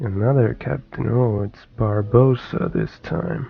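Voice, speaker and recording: Here a man speaks at a very slow pace. His intonation is lively. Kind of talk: gameplay commentary. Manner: casual.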